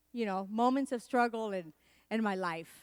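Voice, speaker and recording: In an animated tone, a woman with a Spanish accent speaks on a very clean recording with a silent background. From Puerto Rico. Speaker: motivational speaker and comedian. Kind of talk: keynote speech.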